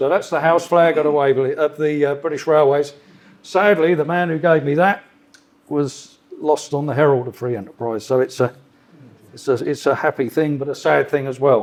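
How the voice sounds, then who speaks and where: A man with a southern English accent, fairly high in pitch, at a moderate pace with ordinary pitch variation. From south of England, Surrey. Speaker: freight train driver. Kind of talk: club talk with slides. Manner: casual, conversational.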